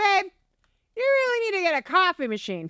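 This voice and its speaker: In a squeaky, put-on character voice at an extremely high pitch, a woman talks at a fairly quick pace, the sound dry and close with no echo. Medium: game stream. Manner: casual.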